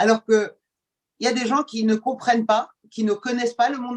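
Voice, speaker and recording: A woman talks at a fairly high pitch and a fairly quick pace. Her intonation is monotone and flat. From Iran, moved to France at age ten. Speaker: journalist and TV presenter. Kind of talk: podcast interview. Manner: hesitant, many fillers.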